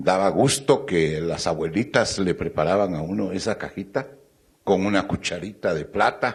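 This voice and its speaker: This man's pitch is very deep and low, with ordinary variation. He speaks at a fairly slow pace. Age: 80s+. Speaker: procession participant, panelist. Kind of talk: panel talk, personal recollection.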